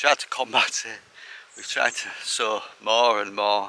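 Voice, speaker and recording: There is noticeable background noise behind this man. He talks at a moderate pace with an English accent. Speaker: allotment gardener, video creator. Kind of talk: casual vlog tour. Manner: mumbling at times.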